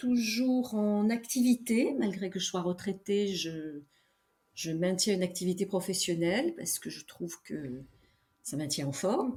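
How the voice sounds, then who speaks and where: Very slowly, a woman speaks at a medium pitch with lively intonation, a dark, mellow tone, and a somewhat breathy sound. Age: 70s. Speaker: veteran amateur trail runner. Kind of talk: interview conversation. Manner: hesitant, many fillers.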